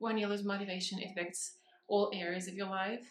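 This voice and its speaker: A woman speaks with a non-native accent. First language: not English. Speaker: vlogger. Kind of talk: casual vlog talk. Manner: halting, many fillers and restarts.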